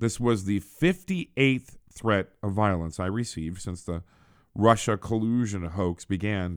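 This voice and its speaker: On a very clean recording with a silent background, a man with an unremarkable speaking voice talks at a fairly slow pace and a fairly low pitch. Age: 50s. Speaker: political podcast host. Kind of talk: casual monologue. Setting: small office.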